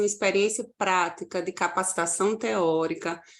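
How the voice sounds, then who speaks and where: In a slight Paraíba accent, a woman speaks at a medium pitch and moderate pace with ordinary pitch variation, captured in a very clean recording with a silent background. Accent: northeastern Brazilian (Paraíba), slight. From Paraíba, Brazil (João Pessoa). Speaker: university lecturer. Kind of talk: conference presentation.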